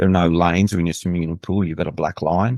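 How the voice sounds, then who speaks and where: With an Australian accent, a man speaks at a very deep, low pitch. The sound is dry and close with no echo. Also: quiet background. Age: 60s. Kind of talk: interview testimony.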